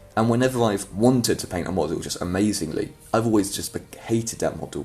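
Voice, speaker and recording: A man with a fairly low pitch and ordinary pitch variation talks at a very fast pace over music in the background. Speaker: miniature painting hobbyist youtuber. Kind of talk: casual show-and-tell. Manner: hesitant, with fillers.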